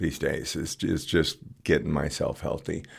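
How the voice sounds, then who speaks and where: Speaking at a moderate pace, a man is heard on a very clean recording with a silent background. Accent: American. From California. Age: 60s. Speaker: community volunteer, produce deliverer. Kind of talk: casual chat.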